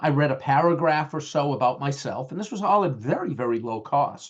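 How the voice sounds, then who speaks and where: A man with a strong Boston accent talks with ordinary pitch variation. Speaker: IT management trainer. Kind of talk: webinar lecture. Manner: halting, many fillers.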